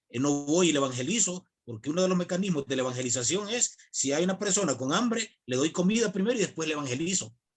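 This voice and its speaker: Speaking at a very fast pace, a man uses a fairly high pitch and lively intonation. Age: 40s. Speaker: evangelical chaplain. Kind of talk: online video call discussion. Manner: hesitant, many fillers.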